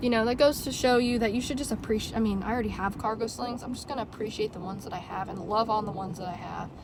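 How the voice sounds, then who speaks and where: Words rush out at a very fast pace with big swings in loudness over noticeable background noise. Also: woman. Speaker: bag collector vlogger. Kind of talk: casual chat. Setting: in a car. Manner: halting, stuttering.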